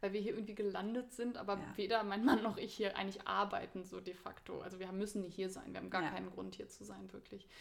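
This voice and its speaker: Very fast and with hardly any pauses, a woman speaks with big swings in loudness. Room echo is audible. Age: 30s. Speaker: spiritual teacher and academic. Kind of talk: casual interview.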